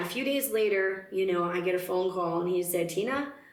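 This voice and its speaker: Medium-pitched speech from a woman at a moderate pace with ordinary pitch variation, plus audible room echo and noticeable background noise. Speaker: singer in a country-blues band. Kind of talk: interview, personal story. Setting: radio station studio.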